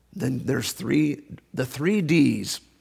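The man has a fairly high pitch and ordinary pitch variation. Vocal fry runs through his voice. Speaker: preacher. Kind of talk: sermon. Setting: church. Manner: joking, casual.

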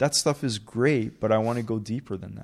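In a Canadian accent, a man with an unremarkable speaking voice talks at a medium pitch and a moderate pace on a very clean recording with a silent background. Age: 30s. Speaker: real estate broker and tech entrepreneur. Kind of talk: casual interview.

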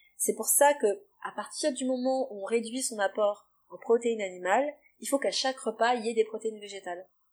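With an ordinary speaking voice, a woman talks fairly quickly at a fairly high pitch, with ordinary pitch variation and big swings in loudness. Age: 30s. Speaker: nutrition therapist and naturopath. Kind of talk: interview, explaining advice.

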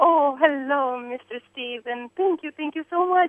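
A woman with an Eastern European accent, very slow pace and lively intonation. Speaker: caller. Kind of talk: call-in conversation. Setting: phone call. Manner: excitable.

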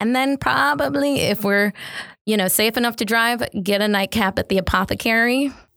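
A woman with a fairly high pitch, at very even loudness, in a dry, close sound with no echo. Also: moderate pace. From Detroit, Michigan, US. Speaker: designer and entrepreneur. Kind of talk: interview conversation. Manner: casual with many filler words.

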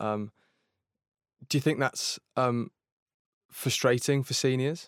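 Fairly slow and fairly even in intonation, the speech comes through on a very clean recording with a silent background and a dry, close sound with no echo. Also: man. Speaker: young creative, interviewer.

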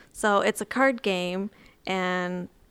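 In an ordinary speaking voice, a woman with a medium pitch speaks on a very clean recording with a silent background. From Texas. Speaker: podcast guest, fan. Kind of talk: casual chat. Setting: in-person recording at a retreat.

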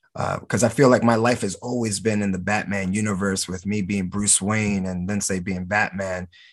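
Against a quiet background, a man with an American accent talks in a fairly low, flat monotone, hardly pausing at all. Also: moderate pace. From New Jersey (Camden, near Philadelphia). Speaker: professional wrestler. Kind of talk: interview.

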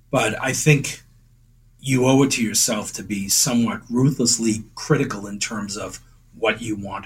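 Somewhat breathy, a man with an American accent speaks at a medium pitch with fairly even intonation. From Boston area, Massachusetts (Winthrop). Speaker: amateur painter and photographer, insurance worker. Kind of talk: interview. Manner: halting.

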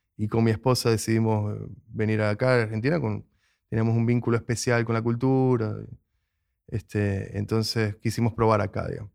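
Recorded very cleanly against a silent background, a man of medium pitch speaks at a moderate pace in a flat monotone. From Venezuela, Maracaibo. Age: 40s. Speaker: film director. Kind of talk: interview. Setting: film festival.

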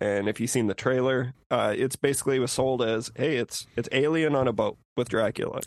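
In an unremarkable speaking voice, the speaker goes at a fairly quick pace with hardly any pauses, very even loudness and fairly even intonation. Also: man, medium pitch for a man. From Saskatchewan, Canada. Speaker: podcaster, guest. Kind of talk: casual chat.

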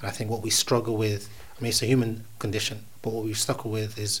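A man's very fast, somewhat breathy delivery at a fairly low pitch, in a monotone, flat intonation. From Uganda, Kenya border. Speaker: poet. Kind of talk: interview conversation. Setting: studio.

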